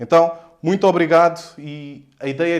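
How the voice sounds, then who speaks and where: Speaking in an animated tone, a man with a Lisbon accent uses a fairly high pitch. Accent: European Portuguese, Lisbon. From Portugal, Lisbon area (Odivelas). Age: 20s. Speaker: real estate investor and mentor. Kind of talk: live stream talk.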